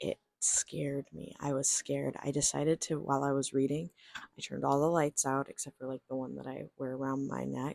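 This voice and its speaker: This quiet voice moves along at a moderate pace. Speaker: book vlogger. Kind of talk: casual vlog. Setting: home at night. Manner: animated.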